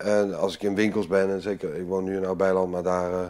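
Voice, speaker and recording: A man is talking. His voice is pitched fairly low. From Amsterdam, Netherlands. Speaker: retired commando captain, entrepreneur. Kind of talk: interview, life story.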